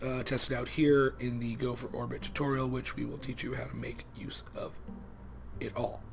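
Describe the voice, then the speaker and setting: Mumbling at a moderate pace, a man speaks over music in the background. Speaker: let's play gaming youtuber. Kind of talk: casual gameplay commentary.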